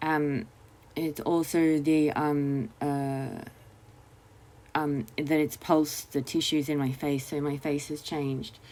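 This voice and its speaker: A woman's very deep, low voice with a dark, mellow tone, monotone, flat intonation and a very slow pace. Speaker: vlogger. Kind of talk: personal monologue. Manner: halting, many fillers and repeats.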